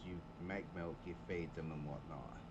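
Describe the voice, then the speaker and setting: A man speaks at a moderate pace in a somewhat breathy voice. Audible room echo surrounds the recording. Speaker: gaming streamer. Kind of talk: live game commentary. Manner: casual, chatty.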